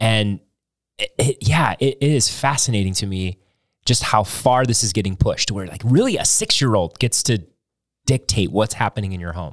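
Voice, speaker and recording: A man talks at a moderate pace in a normal speaking voice of medium pitch with ordinary pitch variation. The sound is dry and close with no echo, in a very clean recording with a silent background. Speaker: pastor. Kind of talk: casual chat.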